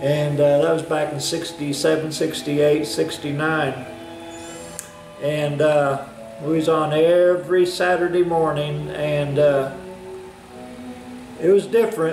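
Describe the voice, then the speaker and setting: A man with an American accent, fairly even intonation and long, frequent pauses, music in the background and audible room echo. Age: 60s. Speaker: hobbyist woodworker. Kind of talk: casual vlog monologue. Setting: workshop. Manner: halting, many fillers.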